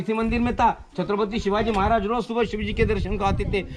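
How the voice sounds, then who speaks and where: The delivery keeps a moderate pace while noticeable background noise sits underneath. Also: man. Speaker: tour guide. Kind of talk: guided tour explanation. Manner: passionate.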